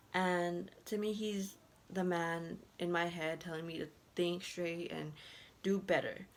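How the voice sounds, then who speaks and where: With a non-native accent, the voice stays monotone and flat in its intonation. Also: woman. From moved to US at age six. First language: not English. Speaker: student speaker. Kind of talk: impromptu speech. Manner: halting.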